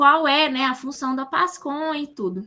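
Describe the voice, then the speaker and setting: A woman's raised, projected voice, high in pitch with a bright, sharp tone. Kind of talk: online class lecture.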